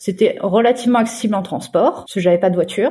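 Somewhat breathy, lively intonation at a very fast pace. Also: woman. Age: 20s. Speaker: nanny and volunteer puppy raiser for guide dogs. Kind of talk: interview testimony.

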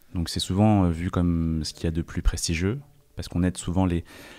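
The recording is very clean, with a silent background. A man with a very deep, low pitch speaks at a moderate pace with fairly even intonation. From France. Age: 20s. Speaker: chess player and content creator. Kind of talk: interview conversation.

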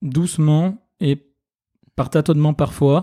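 This man's voice sits fairly high in pitch, with a dark, mellow tone, ordinary pitch variation, and a dry, close sound with no echo. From France, Ardèche. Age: 30s. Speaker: nurse and software entrepreneur. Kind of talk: interview.

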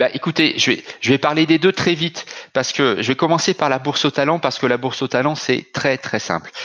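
This man talks at a fairly quick pace. His pitch is fairly high, with ordinary variation. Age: 40s. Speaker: company executive. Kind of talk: interview. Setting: video call. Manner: halting.

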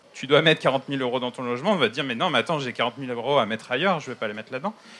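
A man's medium-pitched voice shows ordinary pitch variation, and noticeable background noise runs behind it. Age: 30s. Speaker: architect and regional councillor. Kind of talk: panel discussion. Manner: halting.

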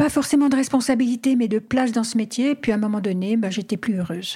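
A dark, mellow tone comes through in a somewhat breathy voice. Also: woman. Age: 70s. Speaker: adventurer and travel writer. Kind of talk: interview. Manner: hesitant.

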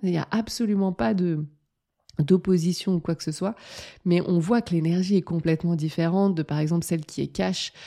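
In a very clean recording with a silent background and a dry, close sound with no echo, the voice has a dark, mellow tone, ordinary pitch variation and a fairly slow pace. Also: woman. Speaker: life coach and podcast host. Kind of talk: solo podcast monologue. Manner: animated; direct.

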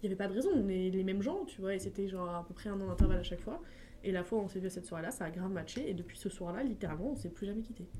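A woman at medium pitch, very fast, with ordinary pitch variation, audible room echo and noticeable background noise. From France, Essonne (Paris region). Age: 20s. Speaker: social media content creator. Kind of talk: casual chat. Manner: fast, filler-heavy.

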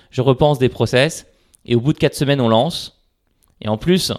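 The pitch varies in an ordinary way over a very clean recording with a silent background. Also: man. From France, Paris. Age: 30s. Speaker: startup CEO. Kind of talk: interview. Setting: at home, large echoey room.

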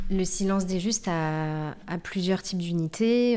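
A woman speaks in a fairly low voice with a dark, mellow tone. Her pace is fairly slow. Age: 40s. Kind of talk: interview. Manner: halting.

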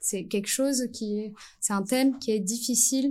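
On a very clean recording with a silent background, a woman with a dark, mellow, somewhat breathy tone speaks at a moderate pace with ordinary pitch variation. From French Antilles. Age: 30s. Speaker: primary school teacher. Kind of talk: casual interview.

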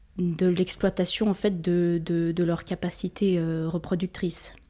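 In a very clean recording with a silent background, a woman speaks very slowly, her tone dark and mellow and her intonation monotone and flat. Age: 20s. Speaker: feminist activist student. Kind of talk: interview. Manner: halting.

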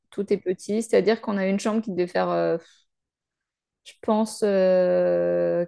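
This woman's voice has a dark, mellow tone. She talks at a fairly slow pace over a quiet background. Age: 30s. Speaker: photographer and content creator. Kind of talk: casual interview.

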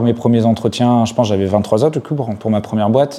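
The background is quiet. A dark, mellow tone carries fairly even intonation. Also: man. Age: 30s. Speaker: startup CTO and co-founder. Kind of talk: interview. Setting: office. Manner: hesitant with fillers.

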